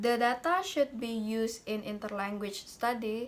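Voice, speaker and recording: Speaking at a very slow pace, a woman has a fairly high pitch. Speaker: university student. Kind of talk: class presentation. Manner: halting, many fillers.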